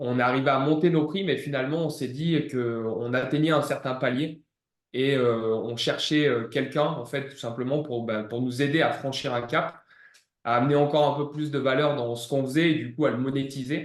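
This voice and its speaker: Using fairly even intonation, a man with a fairly high pitch talks at a moderate pace. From southeastern France, Ardèche/Drôme near Valence. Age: 30s. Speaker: gym manager and former fitness coach. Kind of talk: client testimonial interview. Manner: hesitant, many fillers.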